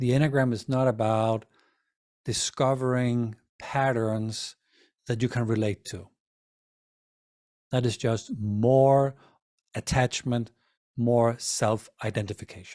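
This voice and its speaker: A man speaks at a very slow pace with long, frequent pauses, his medium-pitched voice dark and mellow in tone and fairly even in intonation. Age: 50s. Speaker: Enneagram teacher. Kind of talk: lecture. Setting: video call. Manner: halting.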